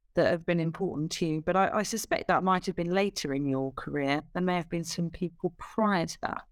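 A woman with a plain, everyday voice speaks at a fairly quick pace and a fairly low pitch. The recording is very clean, with a silent background. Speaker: podcast host. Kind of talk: interview.

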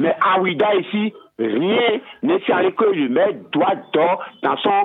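Music plays in the background as a man speaks very slowly, leaving long, frequent pauses. His voice is high-pitched with lively intonation and very even loudness. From Benin, Ouidah. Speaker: caller. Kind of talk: radio phone-in call. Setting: phone call.

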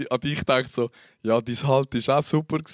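Speaking very fast, a man uses ordinary pitch variation. Everything sounds dry and close, without echo. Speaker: podcast host. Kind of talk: casual chat. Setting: studio.

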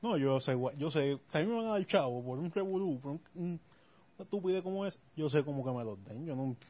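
Lively in intonation and somewhat breathy, a man talks at a fairly quick pace with a fairly high pitch and a dark, mellow tone. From Puerto Rico. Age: 30s. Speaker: podcast co-host. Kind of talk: casual chat.

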